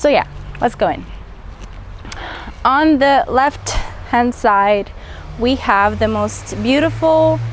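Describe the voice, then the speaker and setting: A woman talks at a very slow pace. Noticeable background noise runs behind her. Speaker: gardening vlogger. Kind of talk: garden tour walkthrough. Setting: outdoors in garden. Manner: casual, chatty.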